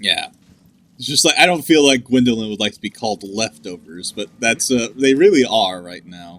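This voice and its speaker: This man has an American accent and a medium pitch, talking at a moderate pace. His intonation is lively, and his loudness swings widely. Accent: southern US accent, usually suppressed. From US South. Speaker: gaming podcast co-host. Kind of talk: casual chat. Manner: many filler words (uh, like).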